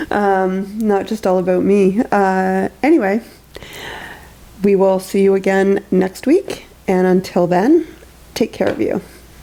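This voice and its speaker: Against noticeable background noise, a woman with a medium pitch and ordinary pitch variation speaks at a fairly slow pace, her loudness very even, with long, frequent pauses. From eastern Ontario, Canada (Lanark County). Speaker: therapist and podcast host. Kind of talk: casual chat.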